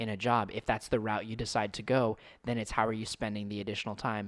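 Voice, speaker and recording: On a very clean recording with a silent background, a man with an American accent speaks fairly quickly at a fairly low pitch. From United States. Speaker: podcast host. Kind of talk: casual chat.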